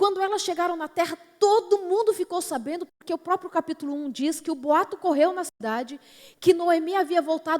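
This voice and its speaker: At a moderate pace, a woman with a São Paulo accent speaks at an extremely high pitch with ordinary pitch variation, in a dry, close sound with no echo. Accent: São Paulo Brazilian Portuguese. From São Paulo, Brazil. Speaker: preacher. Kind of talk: sermon. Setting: church platform.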